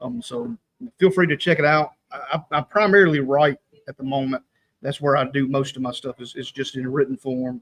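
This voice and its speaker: A man with a slight Southern US accent talks at a fairly quick pace and fairly high pitch, with ordinary pitch variation and a dry, close sound with no echo. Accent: slight southern rural. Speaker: online prophecy ministry writer. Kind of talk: casual chat.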